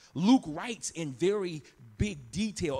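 Vocal fry colors this voice. It belongs to a man. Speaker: pastor. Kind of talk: sermon. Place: church. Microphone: handheld.

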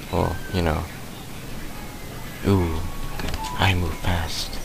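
Dry sound with no echo over loud background noise. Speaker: gamer. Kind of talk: gameplay commentary.

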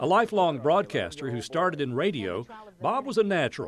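A man talks at a fairly quick pace with vocal fry. His pitch swings very widely, and the sound is dry with no echo. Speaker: television news anchor. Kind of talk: news tribute narration. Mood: somber, respectful.

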